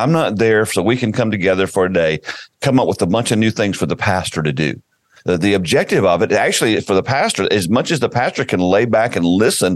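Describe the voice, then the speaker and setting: At a fairly quick pace, a man with a fairly low pitch uses lively intonation in an ordinary speaking voice. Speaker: podcast host and church consultancy director. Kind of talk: casual interview.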